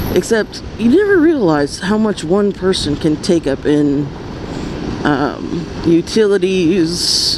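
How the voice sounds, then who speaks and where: Over noticeable background noise, a woman with a fairly low pitch speaks at a very slow pace, with ordinary pitch variation and very even loudness. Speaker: motovlogger. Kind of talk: casual vlog monologue while riding. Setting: riding a scooter in freeway traffic. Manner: quiet with pauses.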